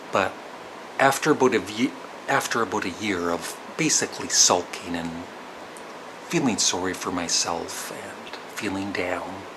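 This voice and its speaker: Over noticeable background noise, a man speaks quietly with a Canadian accent at a fairly slow pace, with a very deep, low pitch and long, frequent pauses. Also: ordinary pitch variation. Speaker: vlogger. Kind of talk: personal storytelling vlog. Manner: hesitant.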